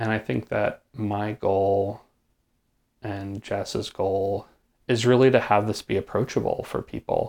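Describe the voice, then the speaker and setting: A man with an American accent uses an ordinary speaking voice at a fairly slow pace. The recording is very clean, the background silent. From Hudson Valley, upstate New York. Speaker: performance artist. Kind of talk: casual chat. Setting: host's home.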